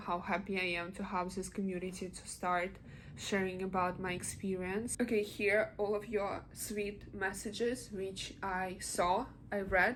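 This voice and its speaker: With a Russian accent, a woman speaks at a moderate pace and medium pitch in a monotone, flat intonation. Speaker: vlogger. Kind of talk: casual vlog. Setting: in bed. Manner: halting.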